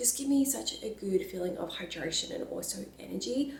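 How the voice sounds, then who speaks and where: Noticeable background noise and audible room echo surround speech at a moderate pace. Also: woman. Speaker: lifestyle and fitness vlogger. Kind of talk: casual vlog talk to camera. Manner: soft-spoken.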